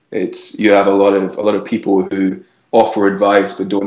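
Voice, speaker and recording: A man talks in a Scottish accent. The room echo is audible, though the background is quiet. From Scotland. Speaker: entrepreneur, powerlifter. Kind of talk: interview answer. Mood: friendly, animated. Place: home room. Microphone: earbuds.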